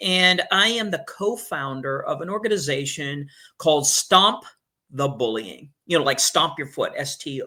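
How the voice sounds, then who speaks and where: The man speaks in an American accent with lively intonation. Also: very clean recording, silent background. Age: 60s. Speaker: martial arts instructor and anti-bullying speaker. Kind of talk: podcast interview. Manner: hesitant repetitions.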